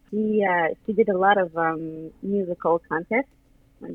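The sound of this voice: The sound is dry and close with no echo as a woman speaks at a fairly low pitch.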